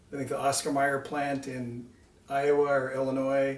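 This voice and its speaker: With an American accent, a man talks at a medium pitch amid noticeable background noise and audible room echo. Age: 60s. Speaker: car owner telling personal story. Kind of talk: personal storytelling. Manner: casual, with hesitations.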